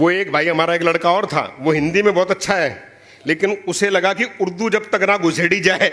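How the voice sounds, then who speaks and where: Someone with a Punjabi accent speaks at a moderate pace in an animated tone with very even loudness, amid noticeable background noise. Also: man, high pitch for a man. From Punjab, India. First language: Punjabi (speaking Hindi). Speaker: poet. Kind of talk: stage talk at a poetry event. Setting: stage with audience.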